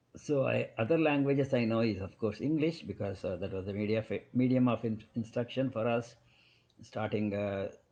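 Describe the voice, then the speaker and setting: With a Kannada accent, this man talks at a moderate pace in a medium pitch, his dark, mellow tone carrying ordinary pitch variation. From South India. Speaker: physician. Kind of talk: podcast interview. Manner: halting.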